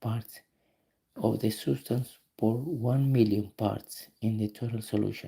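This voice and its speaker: Somewhat breathy and dark, mellow in tone, a man with a non-native accent speaks at a medium pitch with ordinary pitch variation. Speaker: auto mechanic streamer. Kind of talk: live stream tutorial, reading test questions aloud. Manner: halting.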